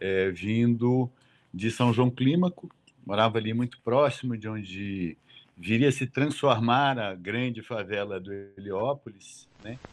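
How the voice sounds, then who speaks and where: A man with a normal speaking voice talks at a fairly slow pace, medium pitch and ordinary pitch variation. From São Paulo east zone, Brazil. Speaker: documentary filmmaker and photographer. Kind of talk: oral history interview.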